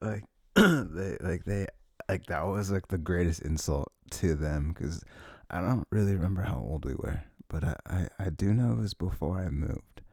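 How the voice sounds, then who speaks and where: The speaker has vocal fry, a moderate pace and ordinary pitch variation. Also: man, very deep, low pitch for a man. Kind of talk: ASMR boyfriend roleplay. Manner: soft, whispered; rambling, casual.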